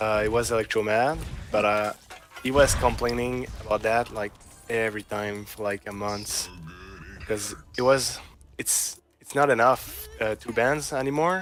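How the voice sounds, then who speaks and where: Fairly slow speech in a French accent, with long, frequent pauses, big swings in loudness, ordinary pitch variation and music in the background. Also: man. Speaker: student esports champion. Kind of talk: casual interview while gaming. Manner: halting.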